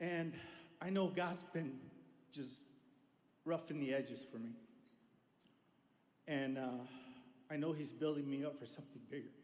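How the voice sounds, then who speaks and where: Amid audible room echo, a man speaks at a moderate pace with long, frequent pauses, a fairly high pitch and ordinary pitch variation. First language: Spanish. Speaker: audience member asking a question. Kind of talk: audience question.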